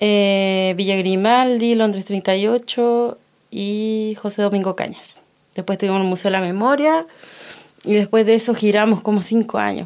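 A woman with an unremarkable speaking voice talks slowly-ish at a fairly slow pace, in a medium pitch with fairly even intonation. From Chile, Los Ángeles (Biobío). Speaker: stage designer and performance artist. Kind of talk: radio interview.

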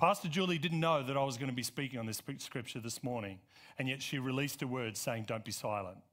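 An animated man with an Australian accent speaks at medium pitch and a fairly quick pace, on a very clean recording with a silent background. He leaves long, frequent pauses. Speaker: pastor. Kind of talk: Sunday sermon, rousing scripture exposition with call-and-response. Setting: church auditorium with congregation. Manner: animated, emphatic preacher rhythm with repeated build-ups; conversational asides full of uh and um, coaxing amens.

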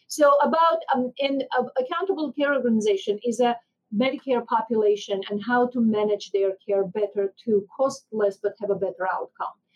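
In an Armenian accent, a woman speaks at a moderate pace with fairly high pitch, ordinary pitch variation and hardly any pauses. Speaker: physician and healthcare executive.

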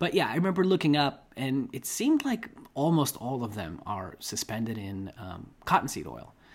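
Vocal fry runs through this voice, with very wide pitch swings and big swings in loudness. The pace is moderate, on a very clean recording with a silent background. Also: man, medium pitch for a man. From Russia. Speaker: podcast host. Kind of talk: casual chat.

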